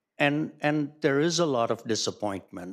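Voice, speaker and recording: Using a plain, everyday voice, a man speaks at a moderate pace, fairly high in pitch and with lively intonation. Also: very clean recording, silent background. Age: 60s. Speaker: public commenter. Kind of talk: council meeting discussion.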